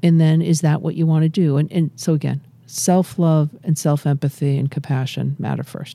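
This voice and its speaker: Her American accent comes through as this woman speaks at a moderate pace with a very deep, low pitch, a dark, mellow tone, and fairly even intonation. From Massachusetts. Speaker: addiction medicine physician. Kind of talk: interview. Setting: studio.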